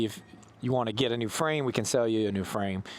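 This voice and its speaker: A man's voice with ordinary pitch variation, amid noticeable background noise. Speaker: e-bike vlogger. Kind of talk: casual vlog monologue while riding. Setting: outdoors on an e-bike. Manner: loud.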